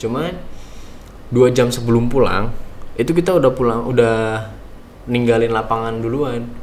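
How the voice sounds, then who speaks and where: With a slight Bekasi accent, a man speaks at a moderate pace with fairly even intonation and long, frequent pauses, his voice carrying audible room echo. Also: medium pitch for a man. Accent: slight Bekasi accent in Indonesian. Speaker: vocational school alumnus, former intern in Japan. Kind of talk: interview. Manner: casual, many fillers.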